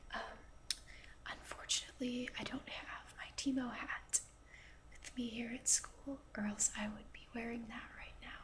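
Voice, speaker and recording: Over noticeable background noise, a woman speaks in a whisper. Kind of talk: ASMR video game commentary. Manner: soft-spoken, whispered.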